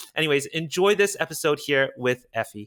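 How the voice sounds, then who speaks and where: Excited and lively in his intonation, a man speaks at a fairly high pitch in a bright, sharp tone. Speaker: podcast host. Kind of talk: interview.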